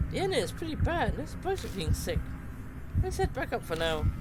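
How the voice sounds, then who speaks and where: A put-on character voice moves at a fairly quick pace. Loud background noise sits behind it. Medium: solo performance.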